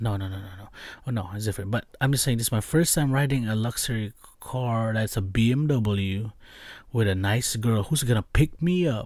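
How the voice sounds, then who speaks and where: At a moderate pace, a man with a non-native accent uses a medium pitch and lively intonation. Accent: noticeable non-native. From immigrant from abroad. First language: not English. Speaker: podcast host. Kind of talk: casual storytelling. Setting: recording with camera, video podcast. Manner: animated, many fillers.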